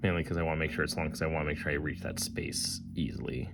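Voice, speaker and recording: Very deep, low male speech carrying audible room echo. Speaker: board game designer. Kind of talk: let's play commentary. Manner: casual, thinking aloud.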